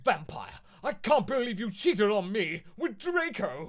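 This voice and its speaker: In a put-on character voice, the speaker projects loudly at a moderate pace with very wide pitch swings. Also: man, high pitch for a man. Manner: angry, shouting.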